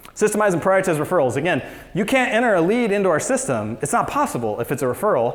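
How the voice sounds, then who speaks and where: A man with an American accent speaks very fast in a high, animated voice with very wide pitch swings. Audible room echo surrounds him. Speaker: real estate business owner, conference speaker. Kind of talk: conference talk.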